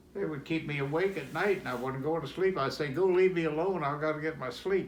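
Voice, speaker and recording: In an Appalachian accent, a man with a fairly high voice and ordinary pitch variation talks at a fairly quick pace against noticeable background noise. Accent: Southern Appalachian American. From Roanoke, Virginia. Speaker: World War II veteran. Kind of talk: storytelling in family conversation.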